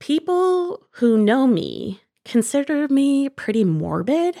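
A woman with an American accent speaks with very wide pitch swings. The very clean recording has a silent background and a dry, close sound with no echo. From US Midwest, Northwest Ohio. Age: 30s. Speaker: podcast co-host. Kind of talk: casual chat.

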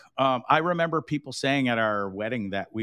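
A man speaks with a Canadian accent in a normal speaking voice. His pace is fairly quick and his intonation lively. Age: 40s. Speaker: podcaster and voice actor. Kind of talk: casual chat.

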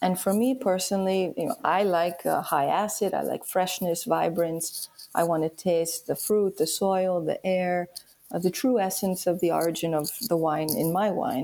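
A dark, mellow tone with a New York accent, very even loudness, moderate pace and ordinary pitch variation. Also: woman, medium pitch for a woman. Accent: New York American. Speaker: wine importer. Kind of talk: interview.

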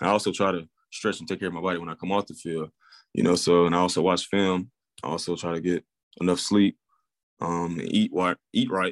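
In an Alabama accent, a man with a very deep, low pitch speaks at a fairly quick pace with fairly even intonation but long, frequent pauses. The sound is dry and close with no echo, and the background is quiet. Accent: Southern US (Alabama). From US South, Alabama (Pleasant Grove). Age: 20s. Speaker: professional football player. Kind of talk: interview. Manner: hesitant, many fillers.

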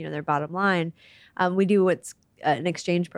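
A woman with an American accent speaks at a moderate pace in an ordinary speaking voice, fairly low in pitch, on a very clean recording with a silent background and a dry, close sound with no echo. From US Midwest. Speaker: charity CEO and civil engineer. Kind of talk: interview. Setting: office.

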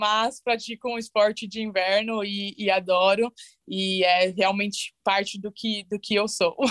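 On a very clean recording with a silent background, a woman with a plain, everyday voice and a fairly high pitch talks at a fairly slow pace with ordinary pitch variation in a dry, close sound with no echo. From Brazil, São Paulo ABC region. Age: 20s. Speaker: bobsled athlete. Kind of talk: interview.

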